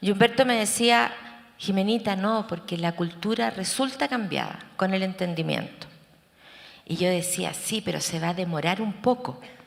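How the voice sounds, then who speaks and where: In an ordinary speaking voice, a woman talks at a moderate pace with medium pitch and lively intonation. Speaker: therapist and researcher. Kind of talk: conference talk.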